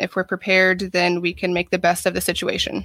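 A woman's medium-pitched voice in an American accent, with a bright, sharp tone and monotone, flat intonation, in a very clean recording with a silent background and a dry, close sound with no echo. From Ohio. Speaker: athletic trainer. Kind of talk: interview.

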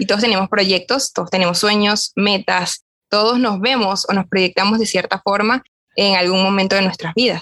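A woman with a Venezuelan accent speaks at a medium pitch and moderate pace, in a bright, sharp tone with fairly even intonation. Her loudness stays very even, and the sound is dry and close with no echo. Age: young. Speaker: podcast co-host, young lay Augustinian. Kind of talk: casual chat.

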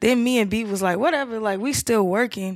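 On a very clean recording with a silent background, a woman speaks at a fairly quick pace with an American accent. Her pitch sits in the medium range and varies in an ordinary way. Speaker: podcast co-host. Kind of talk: casual chat.

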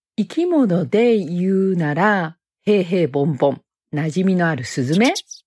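Her intonation is lively. The woman's pitch is fairly low. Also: long, frequent pauses. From Osaka, Japan. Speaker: homemaker, former nurse. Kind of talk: monologue self-introduction.

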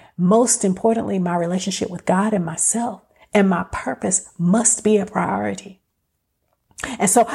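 A woman talks at a moderate pace in a medium pitch with ordinary pitch variation. Her voice is somewhat breathy, with an animated tone. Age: 50s. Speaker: podcast host. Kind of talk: motivational solo talk.

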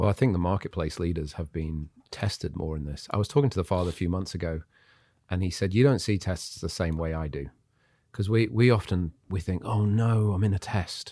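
A man with an English accent speaks in a very deep, low pitch and a dark, mellow tone, at a fairly quick pace with ordinary pitch variation. The recording is very clean, with a silent background. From Zimbabwe and England. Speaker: pastor and entrepreneur. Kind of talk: casual chat.

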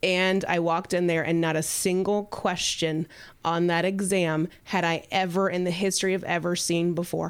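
A woman with an American accent speaks at a moderate pace and a fairly low pitch. Her loudness stays very even and her intonation is monotone and flat. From Kentucky. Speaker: real estate team founder. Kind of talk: casual chat.

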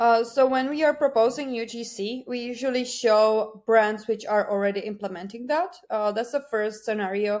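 Speaking in a Czech accent at a moderate pace with hardly any pauses, a woman with a fairly high pitch and ordinary pitch variation comes through on a very clean recording with a silent background. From Czech Republic. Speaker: digital marketing account manager. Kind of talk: interview. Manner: hesitant with many fillers.

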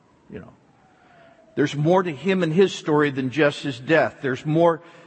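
With an American accent, a man speaks at a fairly high pitch with ordinary pitch variation over noticeable background noise. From US East Coast. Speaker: pastor. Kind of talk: sermon.

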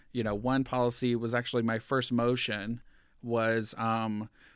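The recording is very clean, with a silent background. A man with an American accent speaks with fairly even intonation in a plain, everyday voice. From US South, rural southeast Georgia. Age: 30s. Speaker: school board member. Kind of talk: casual interview. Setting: his office.

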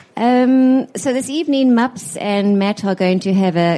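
A woman speaks with a dark, mellow tone. Her intonation is lively. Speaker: book publisher. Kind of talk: welcome speech. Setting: live event with audience.

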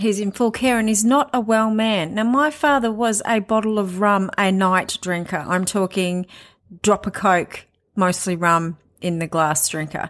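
At a fairly slow pace, the speaker uses an unremarkable speaking voice with ordinary pitch variation. The recording is very clean, with a silent background. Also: woman, medium pitch for a woman. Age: 40s. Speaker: podcast host sharing recovery story. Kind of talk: personal monologue. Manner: casual and conversational.

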